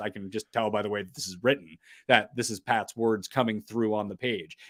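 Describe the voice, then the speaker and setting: In a very clean recording with a silent background and a dry, close sound with no echo, a man speaks at a fairly quick pace with an American accent. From US, Washington DC area. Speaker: sports podcaster and writer. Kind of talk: interview conversation. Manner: unusual pauses and inflection.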